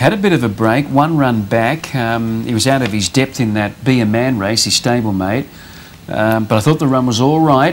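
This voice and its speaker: A man at a medium pitch, moderate pace and ordinary pitch variation, with noticeable background noise. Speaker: racing presenter. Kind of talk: casual chat.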